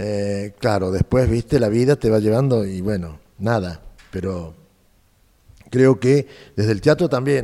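Speaking fairly slowly with long, frequent pauses, a man uses a fairly low pitch and a dark, mellow tone, with ordinary pitch variation. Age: 70s. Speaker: actor and director. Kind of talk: casual interview.

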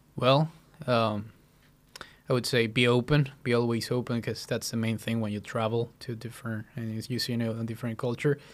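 A man's medium-pitched voice in a Spanish accent, monotone and flat, at a fairly quick pace. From central Mexico. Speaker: podcast guest. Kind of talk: casual chat.

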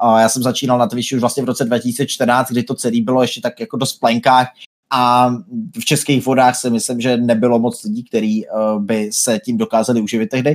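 An unremarkable speaking voice from a man at medium pitch, fairly quick pace and fairly even intonation, in a very clean recording with a silent background. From Czechia, Brno. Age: 20s. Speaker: gaming streamer. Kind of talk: casual interview.

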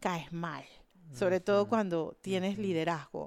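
A woman's dark, mellow tone comes through a very clean recording with a silent background and a dry, close sound with no echo. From Panama, Panama City. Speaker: architect and environmental activist. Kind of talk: interview. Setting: studio.

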